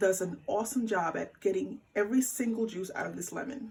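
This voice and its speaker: A woman's somewhat breathy voice sits fairly high in pitch and moves at a moderate pace. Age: 40s. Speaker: home cook and lifestyle vlogger. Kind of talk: casual cooking tutorial to camera.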